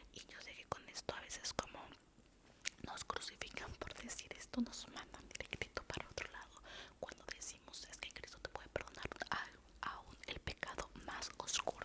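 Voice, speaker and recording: A woman whispers in a gentle tone, her loudness swinging widely. Background noise is noticeable. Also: moderate pace. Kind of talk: casual talk to camera, devotional talk. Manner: soft-spoken, gentle.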